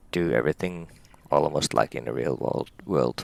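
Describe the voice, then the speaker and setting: Speaking with a Finnish accent, a man uses a very deep, low pitch with vocal fry in a dry, close sound with no echo. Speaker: helicopter pilot. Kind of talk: tutorial; casual chat. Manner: halting, many pauses.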